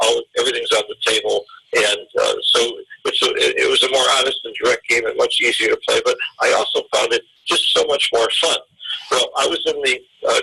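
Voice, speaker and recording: A man with an extremely high voice speaks in a raised, projected way at a fairly quick pace. His intonation stays fairly even over noticeable background noise. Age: 70s. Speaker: backgammon teacher. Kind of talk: interview. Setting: podcast interview.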